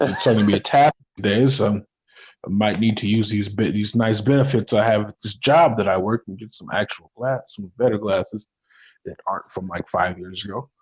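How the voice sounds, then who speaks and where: A man talks at a fairly quick pace in a fairly low, somewhat breathy voice. His pitch varies in an ordinary way while his loudness swings widely. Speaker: wrestling podcast co-host. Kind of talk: casual chat. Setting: recorded live, unedited. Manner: halting, stumbling over words.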